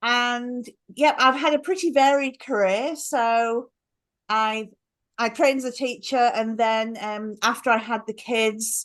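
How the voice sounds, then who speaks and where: Her voice is high-pitched, with ordinary pitch variation. The woman speaks at a fairly slow pace. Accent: British. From England. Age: 40s. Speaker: life coach. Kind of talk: interview conversation.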